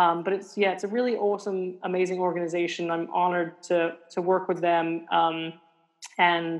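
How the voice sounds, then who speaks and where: A woman speaks with a British accent. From England. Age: 40s. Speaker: museum science manager and author. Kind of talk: interview. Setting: remote from home.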